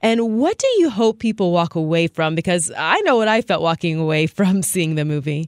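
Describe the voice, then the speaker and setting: A woman has an unremarkable speaking voice, with very even loudness and hardly any pauses. The recording is very clean, with a silent background and a dry, close sound with no echo. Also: fairly low pitch for a woman, ordinary pitch variation, moderate pace. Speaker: radio host. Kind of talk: radio interview.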